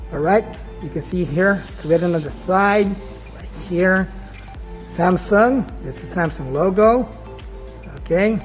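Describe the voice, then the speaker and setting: Speech moves at a fairly slow pace with long, frequent pauses. Music plays in the background. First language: not English. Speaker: gadget vlogger. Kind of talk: casual talk to camera. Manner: casual, hesitant with fillers.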